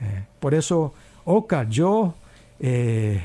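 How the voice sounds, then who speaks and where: A man's somewhat breathy voice, dark and mellow in tone, medium in pitch, with very wide pitch swings. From South Korea. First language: Korean (speaking Spanish). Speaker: pastor. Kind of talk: casual chat. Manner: halting.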